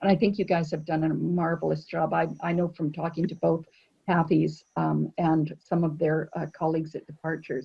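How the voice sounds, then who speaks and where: A woman talks at a moderate pace with vocal fry. Her pitch is fairly low and her intonation monotone and flat. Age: 60s. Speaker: cruise line sales director. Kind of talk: casual chat.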